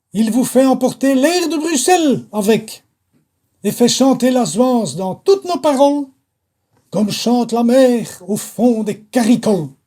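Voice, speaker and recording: An extremely high-pitched male voice with a dark, mellow tone, lively intonation and a very slow pace. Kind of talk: poetry reading.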